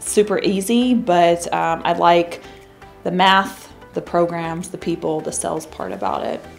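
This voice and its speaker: An American accent at a fairly slow pace, with ordinary pitch variation and faint music in the background. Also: woman. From US Midwest, mid-Missouri. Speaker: mortgage loan officer. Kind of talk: promotional interview. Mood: friendly, upbeat. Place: studio.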